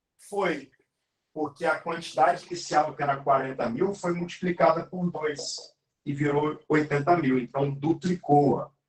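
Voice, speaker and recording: Speaking at a fairly slow pace, a man uses a fairly high, somewhat breathy voice with fairly even intonation. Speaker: math teacher. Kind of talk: live online lesson.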